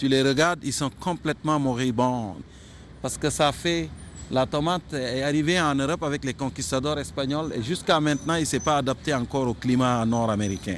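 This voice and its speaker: A man talks at a moderate pace in a plain, everyday voice. His fairly high pitch shows ordinary variation. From Senegal. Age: 50s. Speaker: media creator and cultural figure. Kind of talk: interview.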